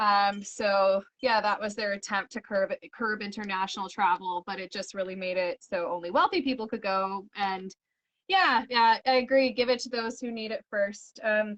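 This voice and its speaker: In a western Canadian accent, a woman with a medium pitch speaks with fairly even intonation, and the sound is dry and close with no echo. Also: moderate pace. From Canada, Edmonton, Alberta. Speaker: illustrator and coloring book publisher. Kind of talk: casual chat. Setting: live video stream.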